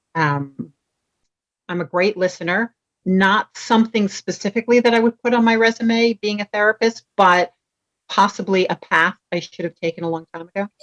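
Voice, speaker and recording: A woman with a New York accent talks in a dry, close sound with no echo. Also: medium pitch for a woman, ordinary pitch variation, moderate pace. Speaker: vacation rental professional. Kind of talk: casual interview. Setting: video call. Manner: animated.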